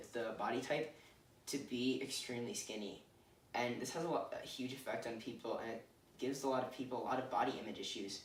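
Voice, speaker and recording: Amid audible room echo and noticeable background noise, a man talks at a fairly quick pace. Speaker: student presenter. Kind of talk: presentation. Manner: hesitant fillers.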